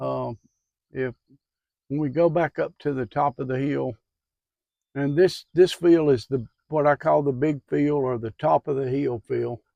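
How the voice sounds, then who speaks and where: Speaking with a Southern US accent, a man has a dark, mellow tone and a relaxed delivery at a fairly slow pace with long, frequent pauses. The background is quiet, and the sound is dry and close with no echo. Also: fairly high pitch for a man, fairly even intonation. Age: 70s. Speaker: farmer. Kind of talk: casual farm tour talk. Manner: relaxed, hesitant.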